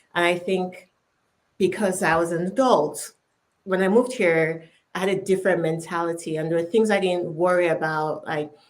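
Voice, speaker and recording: The speaker has a Nigerian accent and a moderate pace. The intonation is fairly even. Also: woman, fairly low pitch for a woman. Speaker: chief product officer. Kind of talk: panel discussion.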